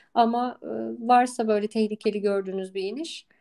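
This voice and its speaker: Dark, mellow tone at a moderate pace, with fairly even intonation. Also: woman. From Istanbul, Turkey. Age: 30s. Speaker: cycling coach and former national athlete. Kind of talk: casual interview. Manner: hesitant, many filler sounds.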